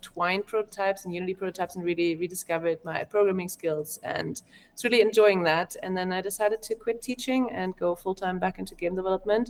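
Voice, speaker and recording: In a German accent, the speaker goes at a fairly quick pace with hardly any pauses and fairly even intonation, the sound dry and close with no echo. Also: woman. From Germany. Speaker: game developer. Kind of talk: interview.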